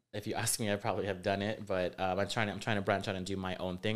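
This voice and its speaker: A man with an American accent speaks in a very deep, low pitch and a monotone, flat intonation. The recording is very clean, with a silent background. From Rio Grande Valley, South Texas. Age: 30s. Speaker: fashion designer. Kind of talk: casual interview chat.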